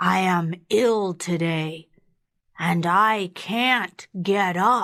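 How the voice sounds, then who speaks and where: A woman uses a put-on character voice at medium pitch. She speaks at a very slow pace. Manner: feigning illness, weak.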